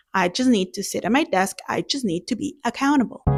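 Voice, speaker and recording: A woman with lively intonation on a very clean recording, the background silent. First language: not English. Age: 30s. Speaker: beginner art vlogger. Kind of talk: casual vlog monologue. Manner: halting, repeats words.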